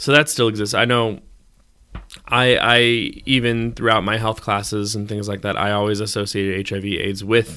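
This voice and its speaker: Recorded very cleanly with a silent background, a man speaks at a moderate pace in a bright, sharp tone, with ordinary pitch variation. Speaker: podcast co-host. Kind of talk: casual chat.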